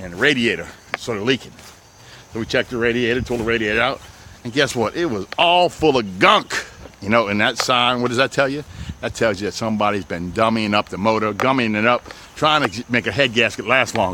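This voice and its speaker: A man talks at a very fast pace in an animated tone, with a New Orleans accent. Noticeable background noise runs behind him. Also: medium pitch for a man, ordinary pitch variation. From New Orleans West Bank, Louisiana. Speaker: used car dealer. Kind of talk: sales pitch walkthrough video. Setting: outdoors on car lot.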